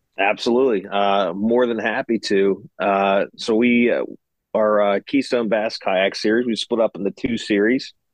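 A man speaks at a fairly low pitch. His is a normal speaking voice. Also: very even loudness. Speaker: kayak tournament organizer. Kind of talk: casual chat.

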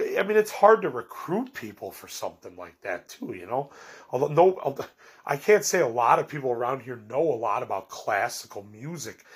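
Over a very clean recording with a silent background, a man talks at a moderate pace with very wide pitch swings. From Chicago. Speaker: podcast host and self-published author. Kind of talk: casual monologue update. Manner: rambling, many fillers; upbeat.

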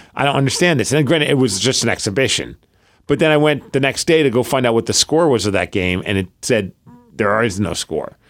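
Delivered at a fairly quick pace with lively intonation, an animated tone and vocal fry, the voice comes through on a very clean recording with a silent background. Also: man. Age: 40s. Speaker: podcast co-host. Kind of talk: casual chat.

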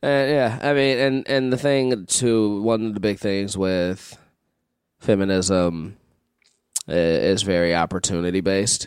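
A man's fairly low, plain, everyday voice at a fairly slow pace, with ordinary pitch variation and very even loudness, on a very clean recording with a silent background. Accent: American. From Chicago. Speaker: improviser and actor. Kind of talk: casual chat.

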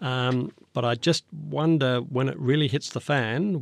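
With an Australian accent, a man talks in a dry, close sound without echo, his pitch varying in an ordinary way. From Australia, northern New South Wales then Canberra. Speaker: foreign correspondent. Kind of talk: interview. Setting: studio.

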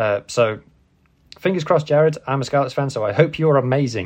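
A man with a plain, everyday voice talks at a fairly quick pace, his pitch fairly high. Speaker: podcast host. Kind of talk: casual news rundown podcast.

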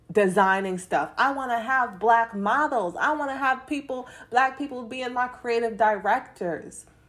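In a very clean recording with a silent background, a woman speaks in an animated tone at a moderate pace with lively intonation. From London, England, later moved to US. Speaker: student and clothing designer. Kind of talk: casual chat.

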